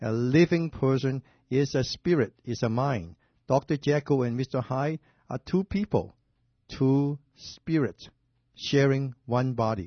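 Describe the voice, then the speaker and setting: A man talks at a very slow pace in a somewhat breathy voice. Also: medium pitch for a man, ordinary pitch variation. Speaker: doctor, radio show host. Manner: explanatory, halting grammar.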